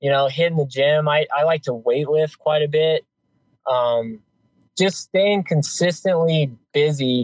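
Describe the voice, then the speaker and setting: A man is speaking with a fairly high pitch. There is a somewhat breathy quality to his voice. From New Mexico. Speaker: hotshot wildland firefighter. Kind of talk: casual interview.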